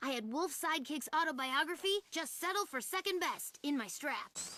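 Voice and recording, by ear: A high-pitched, cartoonish character voice at a moderate pace.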